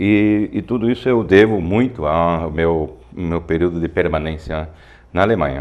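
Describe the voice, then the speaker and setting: Ordinary pitch variation in a man's very deep, low voice, at a fairly slow pace. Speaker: physical education professor. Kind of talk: studio talk show discussion.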